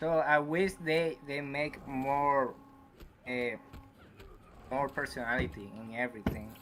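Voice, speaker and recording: A man with a non-native accent speaks at a fairly slow pace with long, frequent pauses, using a fairly high pitch and ordinary pitch variation. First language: not English. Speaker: caller. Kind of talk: casual chat. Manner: halting.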